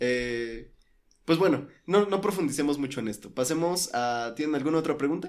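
An ordinary speaking voice from a man, fairly high-pitched with ordinary pitch variation, at a moderate pace. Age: 20s. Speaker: electronics student, podcast co-host. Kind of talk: casual chat.

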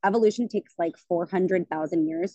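With a plain, everyday voice, a woman talks at a fairly quick pace, her pitch fairly low with ordinary variation, in a dry, close sound with no echo. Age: 30s. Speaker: colon hydrotherapist. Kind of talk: casual chat.

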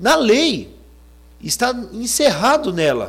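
Animated in tone, a man's extremely high voice leaps through very wide pitch swings. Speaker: preacher. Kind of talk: sermon. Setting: church.

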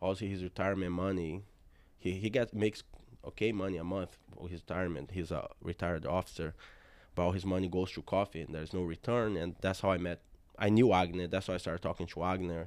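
A man with a Brazilian Portuguese accent speaks at a very fast pace in a very deep, low pitch with fairly even intonation, captured in a very clean recording with a silent background. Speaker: jiu-jitsu gym owner. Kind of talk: casual interview chat.

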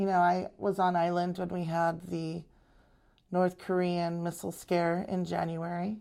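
A woman's fairly low, dark, mellow voice at a fairly slow pace, monotone and flat in intonation, in a very clean recording with a silent background. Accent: General American. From Arizona. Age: 50s. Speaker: realtor and council staff assistant. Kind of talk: interview.

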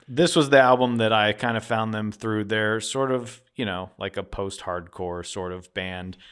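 With an American accent, an ordinary speaking voice moves at a moderate pace with hardly any pauses and ordinary pitch variation, in a very clean recording with a silent background. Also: man, fairly low pitch for a man. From Philadelphia, US. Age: 40s. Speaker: podcast co-host. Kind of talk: casual chat.

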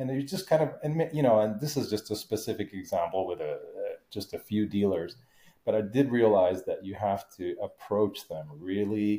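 This man has a fairly low, somewhat breathy voice. He speaks at a moderate pace with lively intonation. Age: 40s. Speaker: car enthusiast living in Japan. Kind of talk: casual chat.

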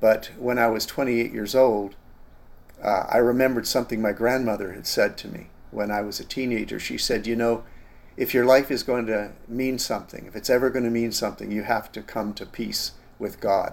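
In a Canadian accent, a man with a plain, everyday voice speaks at a moderate pace and medium pitch, his intonation fairly even but his loudness swinging widely. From Canada. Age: 60s. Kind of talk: interview, personal testimony.

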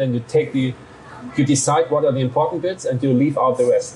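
A man with a German accent, a fairly high pitch, ordinary pitch variation and a very fast pace, over noticeable background noise. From Germany. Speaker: journalist. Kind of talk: interview.

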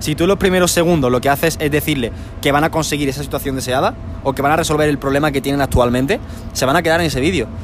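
Music plays behind a man speaking very fast at a fairly high pitch. His loudness stays very even, with ordinary pitch variation. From Spain. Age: young. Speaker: YouTube creator and coach. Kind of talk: interview. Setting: terrace of a shopping centre.

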